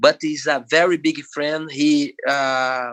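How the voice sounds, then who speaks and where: With a Brazilian Portuguese accent, a man speaks at a very slow pace and a fairly high pitch, his tone bright and sharp and his intonation fairly even. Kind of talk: podcast interview. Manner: halting.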